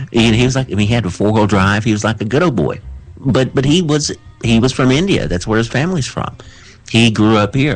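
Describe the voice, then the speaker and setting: A man talks with a Southern US accent and lively intonation. His loudness stays very even throughout. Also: medium pitch for a man, fairly quick pace. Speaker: radio show co-host. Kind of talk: casual chat. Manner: halting, stammering.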